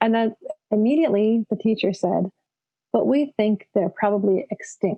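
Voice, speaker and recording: A normal speaking voice from a woman with a Canadian accent, fairly high pitch, ordinary pitch variation, moderate pace and very even loudness. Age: 50s. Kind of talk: conference talk. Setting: video call.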